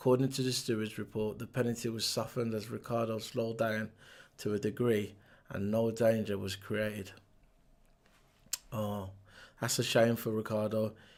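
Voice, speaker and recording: A man's monotone, flat delivery broken by long, frequent pauses. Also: medium pitch for a man, moderate pace. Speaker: motorsport commentator youtuber. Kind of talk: news review vlog. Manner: hesitant, many fillers.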